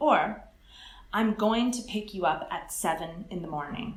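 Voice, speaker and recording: With audible room echo, a woman speaks at a moderate pace using lively intonation. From California. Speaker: English teacher. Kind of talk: interview.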